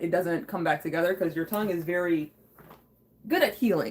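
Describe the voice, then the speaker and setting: Noticeable background noise sits behind the recording. A woman speaks at medium pitch and a moderate pace with ordinary pitch variation. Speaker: live streamer. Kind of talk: casual live stream chat. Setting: live stream. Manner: casual, rambling with fillers.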